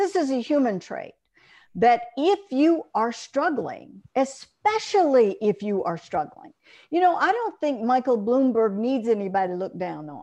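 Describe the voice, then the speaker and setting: Speaking at a fairly slow pace with an Alabama accent, a woman has a high pitch and a dark, mellow tone. Her pitch swings very widely against a quiet background. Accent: Southern US (Alabama). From US South, Monroeville, Alabama. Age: old. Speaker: journalist and columnist. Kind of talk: interview. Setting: video call.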